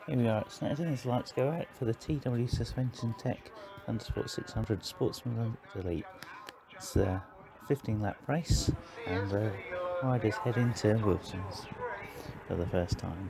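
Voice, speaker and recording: The pace is moderate, with long, frequent pauses and lively intonation. Noticeable background noise runs underneath. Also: man, medium pitch for a man. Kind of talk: live race commentary over video of a motorbike race. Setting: recorded commentary added over race footage. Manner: brisk, matter-of-fact, rattling off rider names, positions and corners; halting, with filler 'uh' and restarts as he keeps pace with the action.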